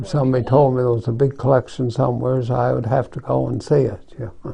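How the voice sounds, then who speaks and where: A man with a dark, mellow tone and a medium pitch talks at a very fast pace, somewhat breathy, with fairly even intonation. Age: 80s+. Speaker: retired family doctor and gun collector. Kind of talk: interview answer.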